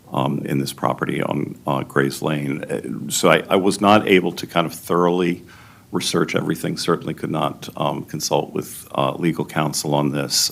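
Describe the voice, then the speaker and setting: A man with an American accent, very deep and low in pitch, hardly any pauses, and noticeable background noise. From Maryland, US (Silver Spring area). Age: 60s. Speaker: local resident giving public testimony. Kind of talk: public hearing testimony. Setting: public planning board hearing. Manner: halting, many fillers.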